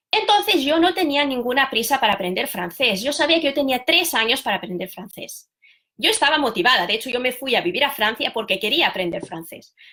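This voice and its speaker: Moving at a fairly quick pace, a woman speaks in a high voice with a bright, sharp tone and very wide pitch swings. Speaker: language teacher. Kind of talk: live stream talk. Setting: live video stream.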